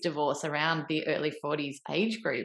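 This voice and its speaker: A woman with a plain, everyday voice at a fairly quick pace. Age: 40s. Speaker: podcast host. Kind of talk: interview.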